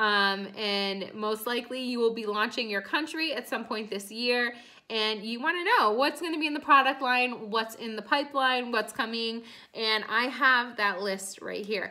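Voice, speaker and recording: In a quiet background, a woman speaks at a moderate pace with ordinary pitch variation. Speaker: direct sales team leader. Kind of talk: training talk to team. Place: home room. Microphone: phone near.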